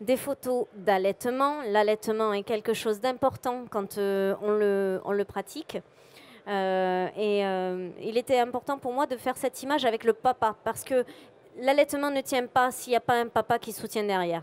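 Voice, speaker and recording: In a southern French accent, a woman speaks fairly slowly at a fairly high pitch with ordinary pitch variation, the sound dry and close with no echo on a very clean recording with a silent background. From southwest France, Montauban. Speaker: photographer. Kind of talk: conference talk presenting photos. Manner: bubbly.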